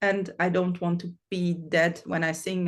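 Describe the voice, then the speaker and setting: Speaking at a fairly slow pace, a woman with a Swiss accent uses a medium pitch. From Switzerland. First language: German. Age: 40s. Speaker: metal singer. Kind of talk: interview. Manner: halting.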